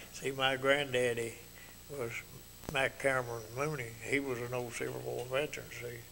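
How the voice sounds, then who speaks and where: Speaking at a moderate pace with a Mississippi accent, a man keeps a medium pitch and monotone, flat intonation over noticeable background noise. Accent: rural Mississippi Southern. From US South, Tippah County, Mississippi. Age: 70s. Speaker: retired carpenter, local elder. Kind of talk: interview about life memories. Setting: TV studio. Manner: halting, repetitive.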